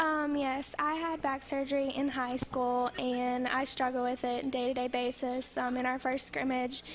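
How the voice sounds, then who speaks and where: A soft-spoken woman with an American accent, high-pitched, flat and monotone, at a moderate pace, her loudness very even. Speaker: college basketball player. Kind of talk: interview.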